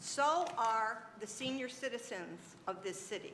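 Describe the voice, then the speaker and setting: A woman's high voice with very wide pitch swings, audible room echo, and noticeable background noise. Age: 70s. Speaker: city council member. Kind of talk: council meeting debate speech. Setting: council chamber.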